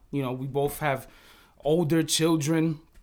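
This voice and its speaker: In a very clean recording with a silent background, a man with a New York accent speaks at a moderate pace and a fairly high pitch. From New York City (Bronx). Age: 40s. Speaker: podcast co-host, music producer. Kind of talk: casual chat.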